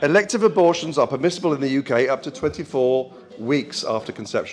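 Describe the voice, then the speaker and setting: A man with lively intonation against light background noise. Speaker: speaker. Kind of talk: speech. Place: hall. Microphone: handheld.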